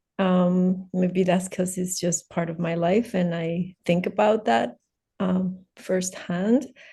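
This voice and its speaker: A woman's somewhat breathy, dark, mellow voice at a medium pitch, with a non-native accent, at a very slow pace with ordinary pitch variation, over a quiet background. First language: not English. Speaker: teacher. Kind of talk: casual chat. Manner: halting.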